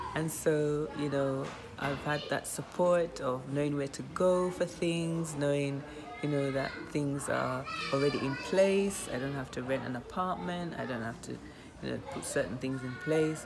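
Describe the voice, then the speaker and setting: Over noticeable background noise and audible room echo, a woman speaks at a fairly slow pace in a very deep, low pitch. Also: ordinary pitch variation. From Jamaica. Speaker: dancer and dance teacher. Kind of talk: casual interview.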